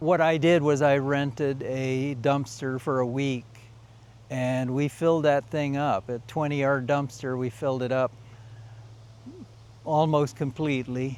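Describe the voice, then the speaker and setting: Pausing long and often, a man speaks at a fairly slow pace and medium pitch with fairly even intonation. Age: 60s. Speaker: retiree video host. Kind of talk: casual chat. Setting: mother's house. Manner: halting.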